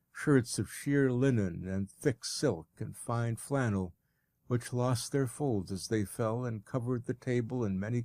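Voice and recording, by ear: A natural voice reading aloud, ordinary pitch variation, quiet background.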